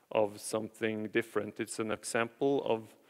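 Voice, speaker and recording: The man's pitch is fairly low and his pace moderate. The recording is very clean with a silent background and a dry, close sound with no echo. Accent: Norwegian. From Norway, Nordmøre (Batnfjorden). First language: Norwegian. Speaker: architect. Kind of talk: conference presentation. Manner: halting, many fillers and repetitions.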